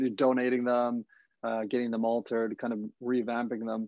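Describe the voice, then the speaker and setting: At a fairly quick pace, a man speaks in a normal speaking voice with a medium pitch. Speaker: podcast host. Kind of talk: podcast interview questions.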